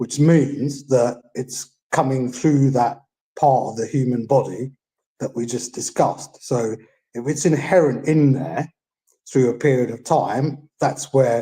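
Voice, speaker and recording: Talking at a fairly slow pace, a man uses a medium-pitched, dark, mellow, somewhat breathy voice with fairly even intonation. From England. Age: 60s. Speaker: caller. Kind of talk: live Q&A call-in. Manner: halting with many fillers.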